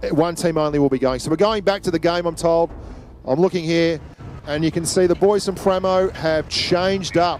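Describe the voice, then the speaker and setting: A high-pitched man with an Australian accent over noticeable background noise. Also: moderate pace. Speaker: esports caster. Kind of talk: live commentary. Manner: loud; animated.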